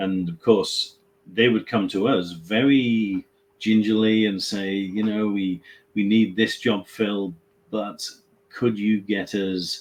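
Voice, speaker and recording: A man with a British accent speaks at a very slow pace and fairly low pitch, his intonation fairly even. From England. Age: 50s. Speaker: staffing company CEO. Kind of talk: webinar discussion.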